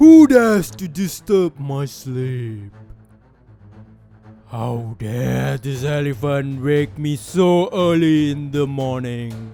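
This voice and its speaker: A man uses a put-on character voice with a fairly high pitch at a very slow pace. Faint music plays in the background. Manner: angry.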